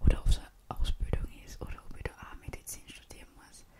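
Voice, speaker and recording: A whisper at a moderate pace, noticeable background noise behind it. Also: woman. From Austria. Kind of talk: ASMR whispered casual talk. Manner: whispered, soft-spoken.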